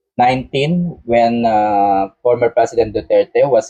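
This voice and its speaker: This man has a medium-pitched voice with a dark, mellow tone. He talks at a very slow pace, and his intonation is lively. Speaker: political commentator. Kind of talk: live stream commentary.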